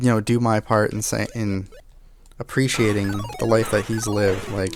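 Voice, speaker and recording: Music plays in the background as a man speaks in a flat monotone at a fairly low pitch. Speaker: gaming video creator. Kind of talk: emotional tribute monologue while playing. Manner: halting, many fillers and restarts.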